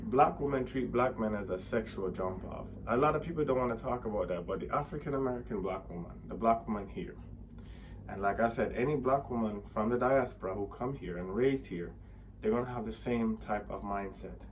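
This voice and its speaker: Audible room echo surrounds a man's fairly low, fry-tinged voice as he talks fairly quickly with ordinary pitch variation. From Jamaica. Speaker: vlogger. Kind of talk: opinion monologue.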